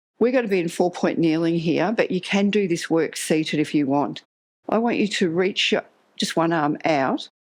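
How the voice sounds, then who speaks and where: Using a plain, everyday voice, a woman with a fairly low pitch speaks with lively intonation and very even loudness. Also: moderate pace. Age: 60s. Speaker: Pilates instructor. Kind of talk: exercise class instruction. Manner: calm, instructive cueing.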